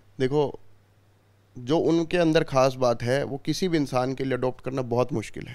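Fairly even in intonation, a man speaks at a moderate pace against a quiet background. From Haryana, India. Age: 20s. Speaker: politician's son. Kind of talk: interview. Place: home room. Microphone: handheld.

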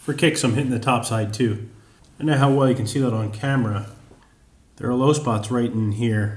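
A man with a medium-pitched, somewhat breathy voice speaks at a fairly quick pace with fairly even intonation and long, frequent pauses. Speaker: machinist. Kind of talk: workshop tutorial narration. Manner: dry, deadpan humor.

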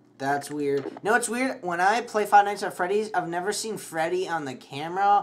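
The speaker uses an animated tone and lively intonation at a moderate pace. There are hardly any pauses, with light background noise. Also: man, high pitch for a man. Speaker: gaming youtuber. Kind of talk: gameplay commentary.

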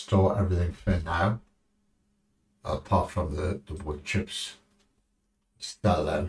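Somewhat breathy and very deep, a man with a British accent speaks at a very slow pace, with fairly even intonation and long, frequent pauses. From United Kingdom. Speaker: gaming streamer. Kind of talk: live gameplay commentary. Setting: live stream from home. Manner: casual, rambling.

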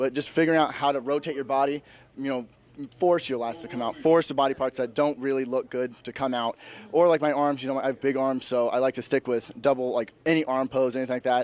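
At a very fast pace, a man talks with medium pitch and fairly even intonation in a dry sound with no echo. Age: 20s. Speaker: bodybuilding competitor. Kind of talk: post-competition interview. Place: hall. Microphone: handheld.

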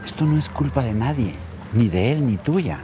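A man speaks at a fairly slow pace in a dry sound with no echo, with noticeable background noise. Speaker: actor playing a wise older friend. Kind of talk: scripted drama dialogue. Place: garden.

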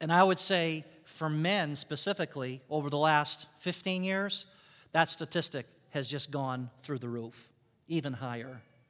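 Against a quiet background, a man speaks at a fairly slow pace. His pitch is fairly high, with ordinary pitch variation. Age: 50s. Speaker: pastor. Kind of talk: sermon. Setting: church. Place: church.

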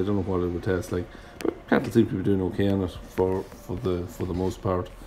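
A man talks at a moderate pace in an Irish accent. His voice sits at a very deep, low pitch. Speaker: farmer. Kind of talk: farm vlog voiceover. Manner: casual.

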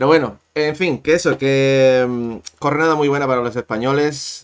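Fairly slow and fairly even in intonation, a man with fairly high pitch speaks in a normal speaking voice. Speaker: tennis youtuber. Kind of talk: live-stream tennis chat.

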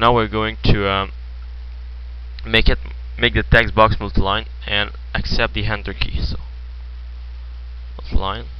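A man with a very deep, low pitch speaks with lively intonation. His pace is moderate, broken by long, frequent pauses. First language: French. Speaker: programming tutorial creator. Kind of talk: screen-recorded coding tutorial. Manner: hesitant, many filler words.

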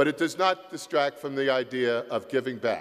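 A man with an American accent and an ordinary speaking voice talks at a moderate pace and a fairly high pitch, with ordinary pitch variation. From US Northeast, South Jersey. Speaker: university president emeritus, commencement speaker. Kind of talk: commencement address. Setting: concert hall stage with audience.

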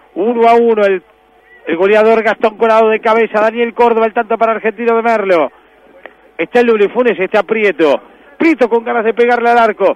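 A man speaks in an excited tone with a high pitch. His loudness stays very even over noticeable background noise. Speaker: football commentator. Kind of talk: live football commentary. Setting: match broadcast. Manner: excited, shouting; fast, building to a goal call.

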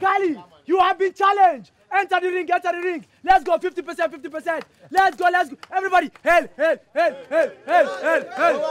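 A man speaks at a moderate pace with lively intonation in a dry sound with no echo. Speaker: fight hype announcer. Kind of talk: energetic announcing, comedy skit. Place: street.

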